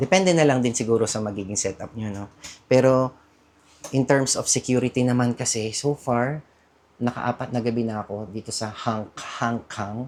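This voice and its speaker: The man's medium-pitched speech has ordinary pitch variation and moves at a moderate pace. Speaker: travel vlogger. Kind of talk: casual vlog talk. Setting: hostel room. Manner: talkative; chatty, self-correcting.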